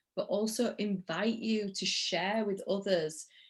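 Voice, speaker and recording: A woman speaks with a Yorkshire accent. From Yorkshire, northern England. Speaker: interview host, spiritual coach. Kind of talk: interview.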